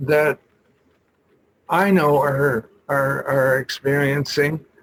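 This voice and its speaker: A man speaks in a somewhat breathy voice. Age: 80s+. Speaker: EFT practitioner and poet. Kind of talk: casual presentation. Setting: video call. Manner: halting.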